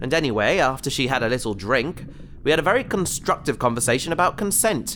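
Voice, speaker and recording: A man speaks in a nervous tone with vocal fry. His pitch swings very widely. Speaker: voice actor playing a character. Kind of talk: sci-fi audio drama, comic scripted dialogue. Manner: nervous, rambling, flustered and wry while trapped and in peril.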